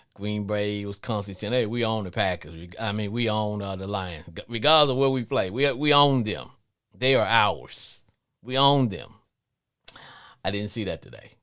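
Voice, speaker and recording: At a moderate pace, a man speaks at a fairly low pitch with ordinary pitch variation and big swings in loudness. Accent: slight Louisiana. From Louisiana. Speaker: sports podcast host. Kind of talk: live call-in show monologue. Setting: live stream.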